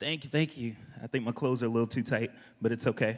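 This man speaks fast with an American accent at a medium pitch. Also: ordinary pitch variation.

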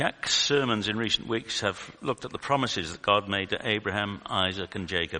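A man's fairly low voice, bright and sharp in tone, with ordinary pitch variation. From UK. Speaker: lay preacher, retired statistician. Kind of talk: sermon. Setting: church.

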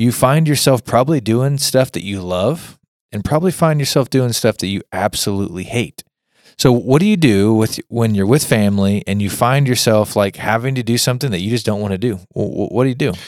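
A man with an American accent talks at a fairly quick pace in a medium pitch with ordinary pitch variation, a plain, everyday voice. The recording is very clean with a silent background and a dry, close sound with no echo. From Kansas, US. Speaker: podcast host. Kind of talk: casual chat.

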